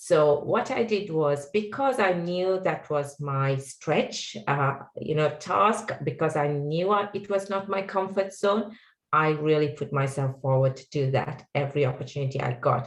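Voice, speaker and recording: In a Sri Lankan accent, a woman speaks fairly slowly with a very deep, low pitch and lively intonation. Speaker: technology executive. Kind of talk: panel discussion.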